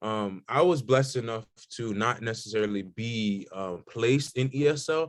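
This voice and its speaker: Moderate pace, a normal speaking voice. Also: man. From South Florida, Haitian-American. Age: 20s. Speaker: college student, panelist. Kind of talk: panel discussion.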